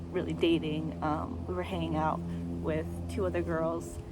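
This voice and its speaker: The woman's delivery is moderately paced. Her words carry audible room echo. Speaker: vlogger. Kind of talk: casual storytime. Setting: outdoors. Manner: hesitant, many fillers.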